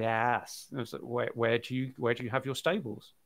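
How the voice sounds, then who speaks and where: With a British accent, a man speaks at a moderate pace and medium pitch, his pitch varying in an ordinary way. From Britain. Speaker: podcast co-host. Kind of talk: casual chat. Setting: live stream. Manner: hesitant, many ums.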